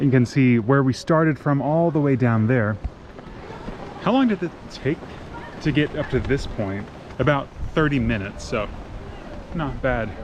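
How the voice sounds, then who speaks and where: Over noticeable background noise, a man with an American accent speaks at a moderate pace with ordinary pitch variation. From United States. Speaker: travel vlogger. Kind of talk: travel vlog narration. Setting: outdoors at a hilltop temple. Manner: casual, conversational.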